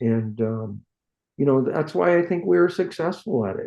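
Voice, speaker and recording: In an American accent, a man uses an ordinary speaking voice with lively intonation at a moderate pace. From San Francisco Bay Area, California. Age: 60s. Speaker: hot rod builder, shop owner. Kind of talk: casual interview chat.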